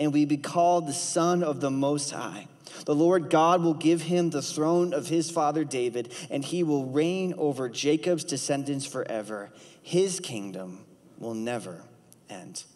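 A man's lively intonation at a fairly slow pace against a quiet background. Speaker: student ministry leader preaching. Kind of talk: sermon. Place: stage. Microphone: headset.

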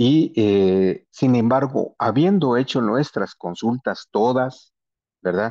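A man talks at a very slow pace with lively intonation. His loudness stays very even against a quiet background. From Guatemala, Maya Q'anjob'al territory. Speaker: panelist. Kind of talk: panel presentation. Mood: earnest, critical. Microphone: video call.

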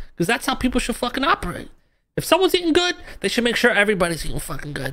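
A very fast, female-sounding voice at a fairly high pitch, with very wide pitch swings. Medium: game stream. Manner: laid-back, swaggering, profane, mentor-like.

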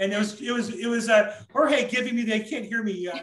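A man with an American accent talks at a fairly quick pace. His voice is high-pitched with a fairly bright tone. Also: ordinary pitch variation.

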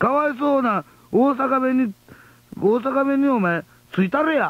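Using an Osaka accent, a man speaks at a fairly slow pace with an extremely high pitch for a man, ordinary pitch variation and very even loudness, the sound dry with no echo. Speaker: radio host, comedian. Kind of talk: late-night radio talk. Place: studio. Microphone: old recording.

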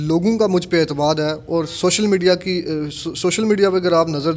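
Fairly even intonation from a man. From Kotli, Azad Kashmir, Pakistan; Azad Kashmir, Pakistan. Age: 20s. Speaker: local election candidate; election candidate. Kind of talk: interview. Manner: formal. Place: home room. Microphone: handheld.

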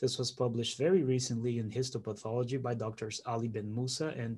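Medium in pitch, this man's voice has a dark, mellow tone and is somewhat breathy. He keeps a moderate pace. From Brazil. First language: Portuguese. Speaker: pathology fellow. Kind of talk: scientific presentation. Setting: video call. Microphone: video call.

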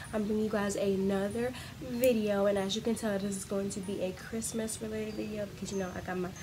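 A woman talks at a very fast pace with fairly even intonation against noticeable background noise. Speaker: vlogger. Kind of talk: casual vlog chat. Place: home room. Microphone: phone near.

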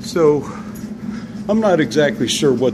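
A man talks at a fairly slow pace with noticeable background noise behind him. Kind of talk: casual vlog commentary. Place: office. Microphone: phone near.

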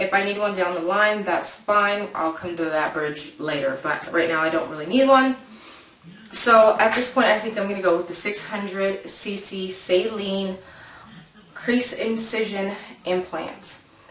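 Audible room echo and light background noise surround a woman's voice. She talks at a fairly slow pace with ordinary pitch variation. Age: 30s. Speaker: lifestyle vlogger. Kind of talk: casual vlog monologue. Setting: home video recording. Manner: chatty, informal with fillers. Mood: relaxed, upbeat. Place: home room. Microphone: webcam.

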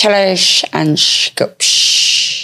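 A put-on character voice, female-sounding, sits at a medium pitch. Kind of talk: casual podcast chat. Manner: grumpy, sneering.

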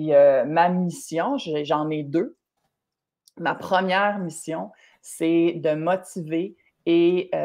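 Her voice sits fairly low for a woman. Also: quiet background. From Quebec. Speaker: triathlon and running coach, entrepreneur; running coach. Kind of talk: live-streamed interview. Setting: live stream video call. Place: home room. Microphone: video call.

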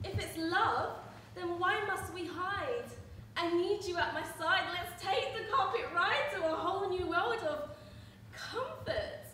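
A woman projects a raised voice with a bright, sharp tone at a very slow pace. Audible room echo and light background noise come through. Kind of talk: dramatic monologue or song performance. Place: stage.

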